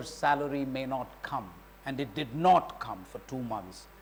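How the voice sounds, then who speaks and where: Noticeable background noise and audible room echo surround a man's voice. He has a fairly high pitch, ordinary pitch variation and a fairly slow pace. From India. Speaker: retired diplomat. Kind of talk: lecture. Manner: loud.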